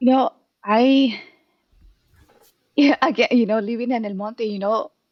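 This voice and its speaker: Speaking fairly slowly in a Spanish accent, a woman uses a fairly high pitch with ordinary pitch variation. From Mexico, Jalisco. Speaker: therapist. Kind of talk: casual chat.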